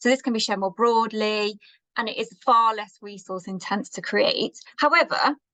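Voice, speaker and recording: Recorded with a dry, close sound and no echo, a woman with a fairly high pitch talks at a fairly slow pace in an ordinary speaking voice. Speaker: marketing presenter. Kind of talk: presentation.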